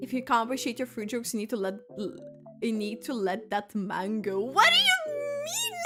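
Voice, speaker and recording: With noticeable background noise behind her, a woman speaks at a fairly quick pace and fairly high pitch, her tone animated and her intonation lively. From Lithuania. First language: Lithuanian. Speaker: gaming streamer. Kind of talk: casual livestream chat. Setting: livestream.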